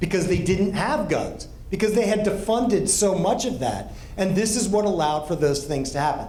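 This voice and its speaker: Speaking at a fairly quick pace with lively intonation, a man with an American accent has a high pitch, and the recording carries audible room echo and noticeable background noise. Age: 60s. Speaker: pastor and counseling director. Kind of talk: talk to a group.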